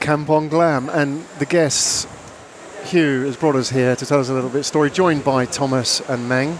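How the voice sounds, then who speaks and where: A moderate pace over noticeable background noise. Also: man, fairly high pitch for a man. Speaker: podcast host. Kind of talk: interview podcast.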